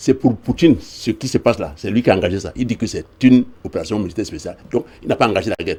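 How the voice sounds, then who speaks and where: Very fast and lively in intonation, a man's medium-pitched voice comes through somewhat breathy with a dark, mellow tone. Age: 70s. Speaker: political activist. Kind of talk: TV interview. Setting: TV studio. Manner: halting, many repetitions.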